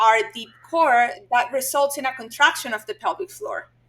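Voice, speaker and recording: Speaking at a moderate pace, a woman uses a raised, projected voice with a bright, sharp tone and a high pitch. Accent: Spanish. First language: Spanish. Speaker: physical therapist. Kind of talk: podcast interview.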